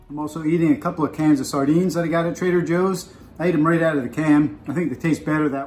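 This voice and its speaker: Music plays in the background as a man talks at a very fast pace. His fairly high voice keeps fairly even intonation. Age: 60s. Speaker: fitness enthusiast. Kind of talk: casual chat.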